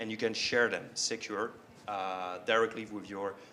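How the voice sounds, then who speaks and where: Speaking at a moderate pace and medium pitch with a French accent, a man has a bright, sharp tone, and audible room echo is present. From France. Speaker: software company representative. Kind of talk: conference presentation. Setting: stage with audience. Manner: frequent hesitations (uh).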